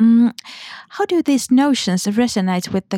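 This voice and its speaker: On a very clean, dry, close recording with no echo and a silent background, a woman speaks fairly slowly in a dark, mellow tone with ordinary pitch variation. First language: Finnish. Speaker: podcast host. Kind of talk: interview. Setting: studio.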